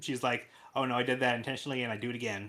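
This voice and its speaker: On a very clean recording with a silent background, a man speaks at a very fast pace, his medium-pitched voice bright and sharp. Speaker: podcast host. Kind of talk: casual chat.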